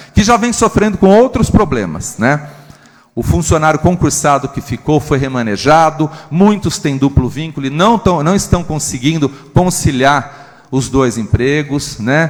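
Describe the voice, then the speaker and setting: A man speaks at a fairly slow pace in a fairly high pitch with lively intonation, over noticeable background noise. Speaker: city councillor. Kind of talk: council speech.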